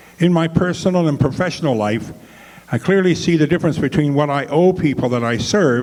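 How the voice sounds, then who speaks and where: A man with a Canadian accent at a fairly quick pace and lively intonation, with noticeable background noise. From Canada, Ontario (moved from Montreal 50 years ago). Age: 70s. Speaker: political candidate. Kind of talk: political debate statement.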